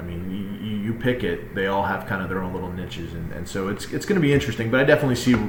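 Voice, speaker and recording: Noticeable background noise and audible room echo surround a man with a fairly low pitch. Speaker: real estate agent. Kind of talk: market update presentation. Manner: fast.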